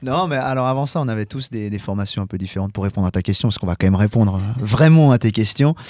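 The man has a fairly low pitch and a dark, mellow tone. He speaks at a very fast pace with lively intonation. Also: very clean recording, silent background. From Geneva, Switzerland. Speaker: rock singer and keyboardist. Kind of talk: casual radio interview.

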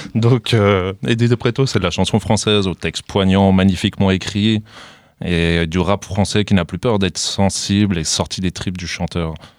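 A man speaks at a moderate pace in a very deep, low pitch with fairly even intonation. The recording is very clean with a silent background and a dry, close sound with no echo. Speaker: radio co-host. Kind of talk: event announcements. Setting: studio. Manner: halting.

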